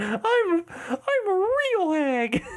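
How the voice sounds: This put-on character voice sits at an extremely high pitch. Its pitch swings very wide.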